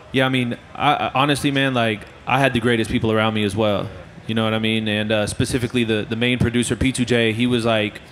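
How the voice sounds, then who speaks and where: A very fast man with an American accent and flat, monotone intonation, over light background noise. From Florida. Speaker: mixing engineer. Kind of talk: casual interview. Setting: music trade show. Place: hall. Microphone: handheld.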